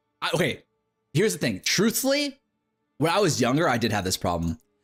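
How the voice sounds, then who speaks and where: Music plays in the background as a man with a fairly high pitch talks at a fairly quick pace. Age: 30s. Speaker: gaming streamer. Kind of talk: live stream chat. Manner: loud; casual, filler-heavy.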